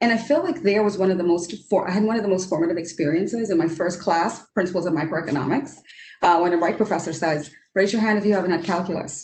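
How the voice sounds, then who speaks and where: With a Trinidadian accent, a woman with a fairly low pitch and ordinary pitch variation talks at a very fast pace and very even loudness, with audible room echo. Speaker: economist. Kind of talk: panel discussion.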